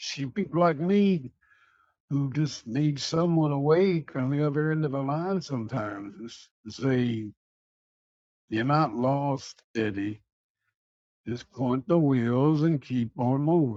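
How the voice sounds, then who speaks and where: A put-on character voice, gravelly and delivered at a fairly slow pace. The pitch varies in an ordinary way while the loudness swings widely. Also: man, fairly high pitch for a man. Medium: audio drama. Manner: slow, seasoned, folksy.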